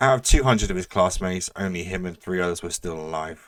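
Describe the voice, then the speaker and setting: A man uses a put-on character voice, raspy and very deep in pitch. He speaks at a very fast pace with big swings in loudness. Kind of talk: storytelling narration. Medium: read story.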